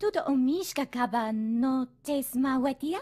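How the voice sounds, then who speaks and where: A female-sounding voice performs a high-pitched character at a moderate pace. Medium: video game.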